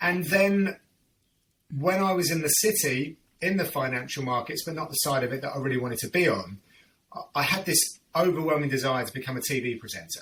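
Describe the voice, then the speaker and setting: A man with a London accent, fairly high pitch, lively intonation and a fairly quick pace. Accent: southern English, London area. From southern England, North London / Hertfordshire. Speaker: MMA play-by-play commentator. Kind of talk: casual interview chat.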